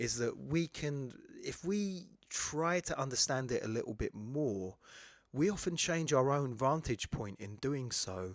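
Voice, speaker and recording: A man with a fairly high pitch and lively intonation speaks at a fairly slow pace in a very clean recording with a silent background. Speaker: poet and poetry teacher, podcast host. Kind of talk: educational podcast monologue. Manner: hesitant, many fillers.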